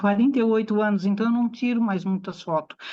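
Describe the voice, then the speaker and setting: A somewhat breathy voice with fairly even intonation. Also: woman. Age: 60s. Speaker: aesthetician. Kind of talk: talk to an audience.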